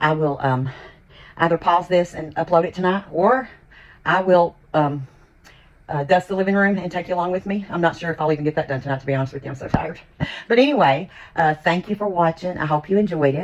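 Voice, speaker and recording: Speaking at a very fast pace, a woman with an American accent uses a fairly low pitch and ordinary pitch variation. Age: 60s. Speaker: lifestyle vlogger. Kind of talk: casual vlog chat.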